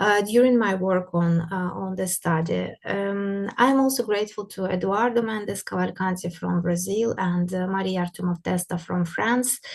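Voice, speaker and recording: A woman speaks at medium pitch in a Russian accent. Her intonation is fairly even, with hardly any pauses. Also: moderate pace, quiet background. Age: young. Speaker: art historian. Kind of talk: lecture. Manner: halting, many fillers.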